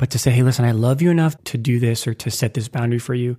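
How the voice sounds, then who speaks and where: A man with an American accent talks at a very fast pace in a medium pitch, his dark, mellow tone somewhat breathy and his intonation fairly even, in a very clean recording with a silent background and a dry, close sound with no echo. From US Midwest (Lincoln, Nebraska). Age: 30s. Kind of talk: casual chat.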